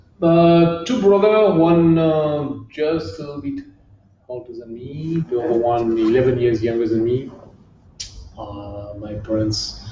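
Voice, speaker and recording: Audible room echo and noticeable background noise surround this man's fairly slow delivery. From southern France, near Marseille. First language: French. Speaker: kickboxing champion. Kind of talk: interview. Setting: gym.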